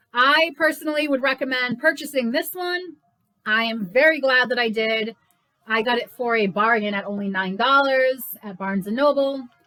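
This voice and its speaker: At a moderate pace, a woman speaks loud and at a high pitch. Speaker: book reviewer and channel host. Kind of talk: casual book review vlog. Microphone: no microphone, built-in recording.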